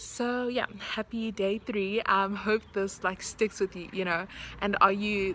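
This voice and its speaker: With noticeable background noise behind her, a woman speaks at a medium pitch and fairly slow pace in a monotone, flat intonation. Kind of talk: casual devotional vlog. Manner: hesitant, many fillers.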